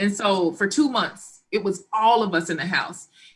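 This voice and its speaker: Loud and bright with a sharp tone, a woman speaks at medium pitch and a moderate pace with lively intonation. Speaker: life coach, blended family expert. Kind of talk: panel talk show discussion.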